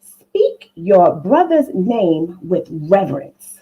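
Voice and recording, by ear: A woman's put-on character voice, slow and husky with a rough edge, with big pitch swings. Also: fairly low pitch for a woman.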